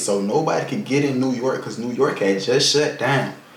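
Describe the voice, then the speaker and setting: Over noticeable background noise and audible room echo, a man speaks at a medium pitch with ordinary pitch variation. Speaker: vlogger. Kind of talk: personal life story. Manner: fast; casual.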